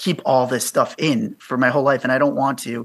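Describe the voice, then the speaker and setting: A man's bright, sharp tone at a fairly high pitch, with ordinary pitch variation and a fairly quick pace. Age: 40s. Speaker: podcaster on male friendship. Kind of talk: radio interview.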